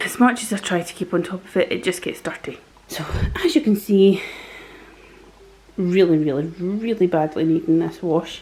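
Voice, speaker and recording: The speaker has a Scottish accent and ordinary pitch variation at a moderate pace. Noticeable background noise is present. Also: woman. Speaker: vlogger. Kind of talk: casual vlog narration.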